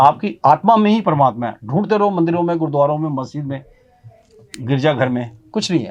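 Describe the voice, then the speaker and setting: A man with a normal speaking voice, fairly high-pitched, at a moderate pace with lively intonation. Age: 60s. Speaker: motivational speaker. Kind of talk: interview. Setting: studio.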